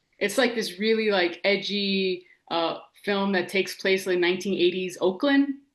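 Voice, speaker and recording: In an American accent, a woman talks at a moderate pace with a normal speaking voice, medium pitch and ordinary pitch variation. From Los Angeles. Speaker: TV writer and director. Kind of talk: casual interview chat. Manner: casual, slangy with frequent 'like'.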